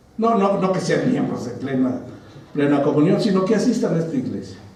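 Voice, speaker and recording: A man talks at a moderate pace with a fairly high pitch and very wide pitch swings. Audible room echo and noticeable background noise are in the recording. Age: 60s. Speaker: pastor. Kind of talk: sermon. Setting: church. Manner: conversational, engaging congregation.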